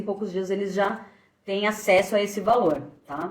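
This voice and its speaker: A woman at a moderate pace. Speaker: financial planner. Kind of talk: live stream explainer. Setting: Instagram live. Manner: hesitant, many fillers.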